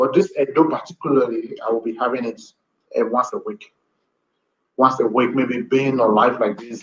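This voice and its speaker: A man with a Nigerian accent at a medium pitch, with ordinary pitch variation, a moderate pace and long, frequent pauses. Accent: Nigerian (Edo) English. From Nigeria, Edo. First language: Edo. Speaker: language teacher. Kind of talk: live-stream lesson. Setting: live video stream.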